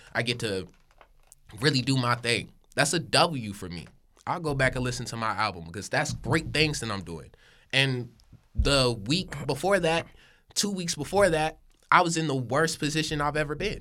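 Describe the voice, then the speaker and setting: Bright and sharp with vocal fry, a man with an American accent swings very widely in pitch at a moderate pace, taking long, frequent pauses on a very clean recording with a silent background. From Hickory, North Carolina. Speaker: rapper. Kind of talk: casual chat.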